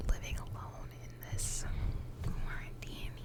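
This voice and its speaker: Noticeable background noise sits behind a fairly slow whisper. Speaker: ASMR creator. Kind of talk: ASMR whisper ramble. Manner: whispered.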